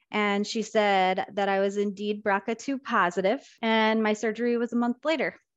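A woman speaks at a moderate pace with an Upper Midwest accent. Her fairly high voice keeps a fairly even intonation. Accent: Upper Midwest American. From Minnesota, US. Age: 30s. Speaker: nurse educator. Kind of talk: interview.

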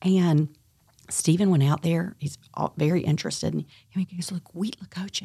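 A somewhat breathy woman's voice with an American accent and fairly even intonation. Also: moderate pace. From US South, eastern North Carolina. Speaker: restaurant and brewery owner, author. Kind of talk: interview, personal storytelling.

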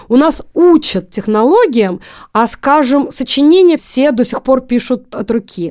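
A woman's dark, mellow tone at high pitch, with lively intonation, in a very clean recording against a silent background. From Russia, Magnitogorsk, Chelyabinsk region. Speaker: programming olympiad coach and teacher. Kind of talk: interview.

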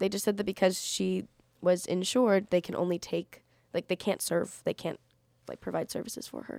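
The voice is dark and mellow in tone, with vocal fry. It moves at a fairly quick pace in a flat monotone. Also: woman, medium pitch for a woman. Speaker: college radio co-host. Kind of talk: casual chat. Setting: studio.

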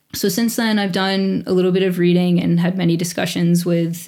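Speaking at a fairly quick pace in an American accent, a woman with a fairly low, dark, mellow voice keeps a flat, monotone delivery as room echo is audible. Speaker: elementary school teacher. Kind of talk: interview conversation.

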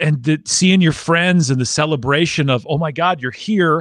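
A man's fairly high voice in an American accent, with lively intonation and moderate pace over a quiet background. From US Midwest, Wisconsin. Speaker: podcast host and ultrarunner. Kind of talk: casual chat. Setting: live stream. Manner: talkative.

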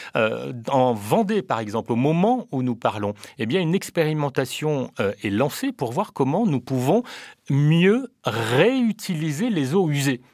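In a very clean recording with a silent background, a man with fairly high pitch speaks at a very slow pace with very wide pitch swings. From Réunion. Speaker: politician. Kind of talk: radio interview. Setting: studio. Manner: formal.

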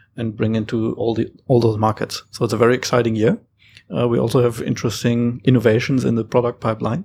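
The recording is very clean, with a silent background. A man speaks in a German accent at a medium pitch, his intonation monotone and flat. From Germany, Hamburg. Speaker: startup founder. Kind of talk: panel discussion.

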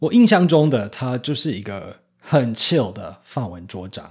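Over a very clean, silent background, a somewhat breathy man speaks at a moderate pace with very wide pitch swings. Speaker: podcast host. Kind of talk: scripted narration.

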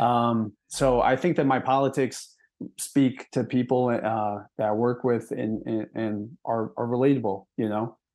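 Fairly even intonation runs through a plain, everyday voice with an American accent. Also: man, medium pitch for a man, fairly slow pace. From Milwaukee, Wisconsin. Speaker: delivery driver and union activist. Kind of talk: interview.

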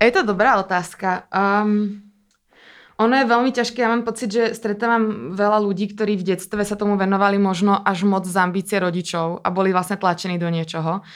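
A woman's unremarkable speaking voice at medium pitch, fairly quick in pace and fairly even in intonation, on a very clean recording with a silent background. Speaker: dancer and performer. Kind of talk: interview conversation.

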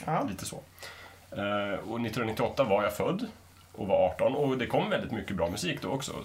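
Through audible room echo and noticeable background noise, a man's pitch swings very widely, broken by long, frequent pauses. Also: medium pitch for a man, moderate pace. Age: 30s. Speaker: podcast panelist. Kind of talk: casual panel discussion.

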